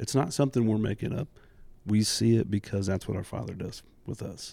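A man with an American accent speaks at a moderate pace in a fairly low pitch. His tone is dark and mellow, with some vocal fry. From US Midwest, Indianapolis. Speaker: church drummer and youth ministry volunteer. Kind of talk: casual roundtable chat.

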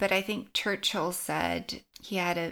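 Recorded very cleanly against a silent background, a woman speaks with a fairly low pitch and vocal fry. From China. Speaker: podcast host, startup advisor. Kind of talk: interview answers, casual conversation.

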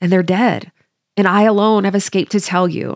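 Recorded very cleanly with a silent background and a dry, close sound with no echo, a woman speaks at a moderate pace in a medium pitch with a warm tone. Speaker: Bible study podcaster. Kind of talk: Bible study commentary with scripture reading; dramatic scripture narration. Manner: warm, friendly, earnest; animated, dramatic delivery when narrating Job's tragedies.

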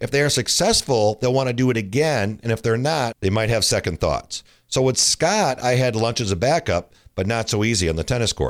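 At a fairly quick pace, a man with a normal speaking voice talks at medium pitch, his intonation lively and his loudness very even. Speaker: tennis coach and podcast host. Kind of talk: scripted-style pitch with carnival barker patter.

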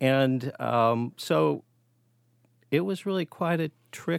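Lively intonation from a man at medium pitch, in a very clean recording with a silent background and a dry, close sound with no echo. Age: 60s. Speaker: parent of guest. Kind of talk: conversational interview.

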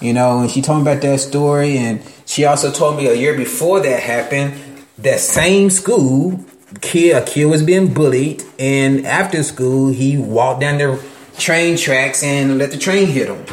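Speaking at a moderate pace with ordinary pitch variation, a man with a fairly high voice sounds through audible room echo. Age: 30s. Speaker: podcast host. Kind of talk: casual monologue. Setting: at work while painting.

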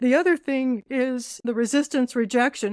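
A woman in a Californian accent speaks with a fairly high pitch. The recording is very clean with a silent background, and the sound is dry and close with no echo. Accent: Californian American. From US West Coast, Southern California. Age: 70s. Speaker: skincare founder. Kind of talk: interview conversation.

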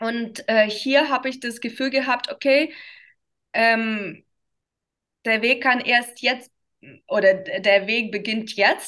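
A woman with a Russian accent, fairly high-pitched and bright, sharp in tone, at a very slow pace with long, frequent pauses, fairly even intonation and a quiet background. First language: Russian (speaking German). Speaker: dance teacher for children. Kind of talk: interview. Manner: halting, many fillers.

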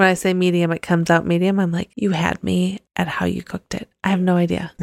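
Very fast and monotone with flat intonation, a woman's fairly low voice comes through in a dry, close sound with no echo. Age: 40s. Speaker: podcast co-host. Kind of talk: casual chat.

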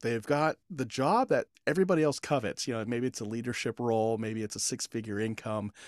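A man's plain, everyday voice at a medium pitch and fairly quick pace, with ordinary pitch variation, on a very clean recording with a silent background and dry, close sound with no echo. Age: 40s. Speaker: leadership consultant and podcaster. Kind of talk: interview.

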